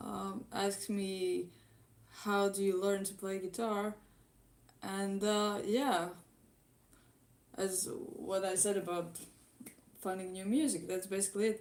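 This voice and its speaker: A woman's medium-pitched, monotone voice with a Latvian accent, at a very slow pace with long, frequent pauses and flat intonation. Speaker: YouTube guitar cover musician. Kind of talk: live stream Q&A. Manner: halting.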